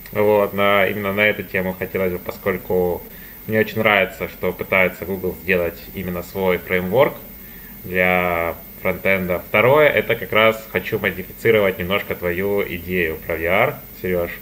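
Fairly even intonation marks this man's very deep, low voice. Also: moderate pace. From Donetsk, Ukraine. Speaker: master's student. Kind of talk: casual group discussion. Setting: video call.

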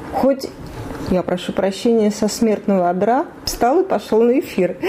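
Fairly high female speech over noticeable background noise. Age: 40s. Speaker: former radio journalist, hospice patient. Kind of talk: interview. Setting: hospice room, in bed. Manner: animated.

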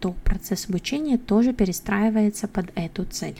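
Her voice is dark, mellow and somewhat breathy, at a medium pitch. This woman keeps a moderate pace with ordinary pitch variation. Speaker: English teacher and podcast host. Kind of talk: solo monologue podcast.

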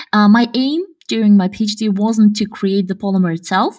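At a moderate pace, a woman speaks in a medium pitch with ordinary pitch variation and a somewhat breathy quality, on a very clean recording with a silent background. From Kazakhstan. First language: Russian. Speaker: podcast co-host, researcher. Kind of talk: casual chat.

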